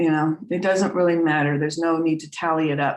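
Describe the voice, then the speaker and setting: A woman speaks at a very deep, low pitch with fairly even intonation. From US Northeast (Vermont). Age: 60s. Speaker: trance medium and spiritual teacher. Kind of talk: casual chat. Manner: halting, repeats words.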